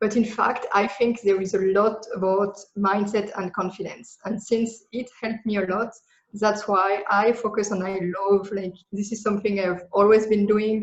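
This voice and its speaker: A woman speaks in a French accent at a moderate pace, her medium-pitched voice monotone and flat. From France. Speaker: digital nomad business coach. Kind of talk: podcast interview.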